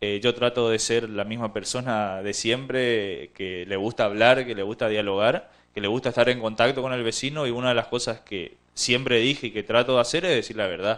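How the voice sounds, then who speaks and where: An ordinary speaking voice: a man at medium pitch talks at a moderate pace with fairly even intonation and hardly any pauses. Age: 30s. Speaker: local councillor; town councillor. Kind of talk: TV interview. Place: studio. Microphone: handheld.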